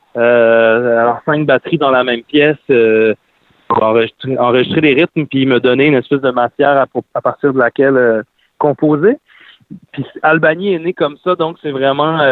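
Speaking fairly slowly, a man uses a fairly high pitch. His pitch variation is ordinary. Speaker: singer-songwriter. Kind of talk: interview. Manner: hesitant, many fillers.

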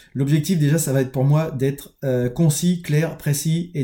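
This man's voice has a dark, mellow tone and is somewhat breathy. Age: 30s. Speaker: construction employee turning entrepreneur, vlogger. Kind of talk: personal video diary monologue. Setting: home office, recording alone on camera. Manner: halting, many hesitations and repetitions.

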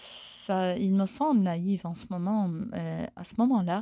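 A woman with a Persian accent, a dark, mellow tone and medium pitch, ordinary pitch variation, very slow pace, dry, close sound with no echo, and a very clean recording over a silent background. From Iran. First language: Persian (speaking French). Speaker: animation filmmaker. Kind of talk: recorded voice message. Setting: basement studio. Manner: halting.

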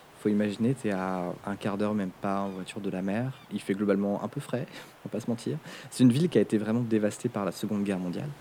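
Speaking very fast, a man with a fairly low pitch and a dark, mellow tone uses ordinary pitch variation. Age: 30s. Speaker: media content creator. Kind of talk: casual chat. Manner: halting.

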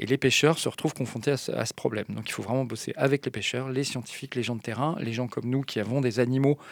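A man's medium-pitched voice at a very fast pace, with a dry, close sound and no echo, in a very clean recording over a silent background. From French mountain region. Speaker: marine mammal scientist at an animal park. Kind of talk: radio interview. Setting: studio. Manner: halting.

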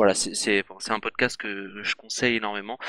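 A man's bright, sharp voice, dry and close with no echo. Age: 20s. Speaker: podcaster. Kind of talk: casual chat.

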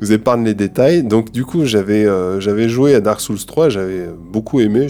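With music in the background, a man talks at a moderate pace with hardly any pauses. His pitch is fairly low, with ordinary pitch variation. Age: 30s. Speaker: composer and sound engineer. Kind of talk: casual chat about a video game. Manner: halting, many repetitions and fillers.

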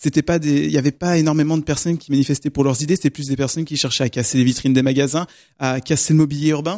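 Man's fairly high voice with ordinary pitch variation, in a dry, close sound with no echo. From Normandy, France. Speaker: radio show columnist. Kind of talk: radio panel debate. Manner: hesitant.

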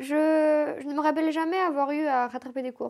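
A woman at a fairly slow pace. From Moldova, Chisinau. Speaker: interviewee telling her life story. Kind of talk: casual personal storytelling.

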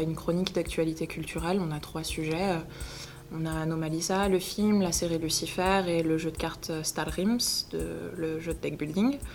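Audible room echo surrounds a woman with a fairly low pitch. She talks at a moderate pace with ordinary pitch variation. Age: 20s. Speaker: online video creator and actor. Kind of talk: interview. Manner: hesitant, many filler words.

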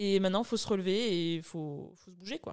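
With ordinary pitch variation, this woman talks very fast. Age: 30s. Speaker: dietitian. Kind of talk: interview testimony.

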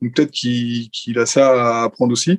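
A man with an ordinary speaking voice talks at a moderate pace and medium pitch, recorded with a dry, close sound with no echo. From France. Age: 20s. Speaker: Formula 1 podcast panelist. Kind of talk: casual chat.

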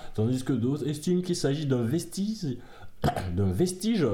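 Heard with audible room echo, a man speaks at a fairly high pitch with very wide pitch swings. His tone is dark and mellow and somewhat breathy. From Africa. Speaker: podcast co-host. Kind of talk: casual chat; reading aloud.

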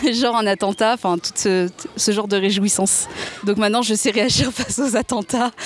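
Speaking with fairly even intonation, a woman is heard over noticeable background noise. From France, Seine-et-Marne. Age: 20s. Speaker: speech therapist. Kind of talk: casual interview chat.

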